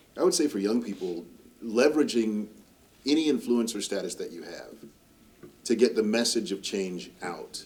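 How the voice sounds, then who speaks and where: A man with fairly low pitch talks in an ordinary speaking voice. His pace is fairly quick and his intonation lively. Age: 60s. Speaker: political campaigner. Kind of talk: panel discussion.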